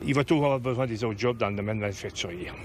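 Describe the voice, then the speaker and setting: A man with a Quebec accent and fairly even intonation. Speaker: union representative. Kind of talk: news interview clip.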